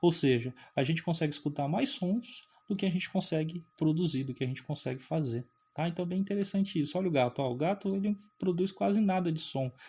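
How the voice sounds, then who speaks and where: Talking at a very fast pace, a man with a high pitch and lively intonation has a dark, mellow tone. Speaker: physics teacher. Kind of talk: lecture. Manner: animated.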